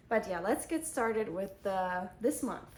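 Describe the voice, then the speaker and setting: A woman speaks with a slight German accent. Her voice sits at a medium pitch. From Germany. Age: 20s. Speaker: book vlogger. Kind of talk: casual book review monologue.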